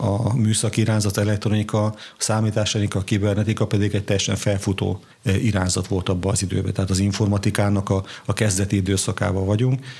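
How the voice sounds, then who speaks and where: At a very fast pace, a man speaks in a fairly low pitch, somewhat breathy, with monotone, flat intonation and very even loudness. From southern Slovakia, Bodrogköz (Hungarian minority). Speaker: bishop. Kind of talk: interview. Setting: parish house.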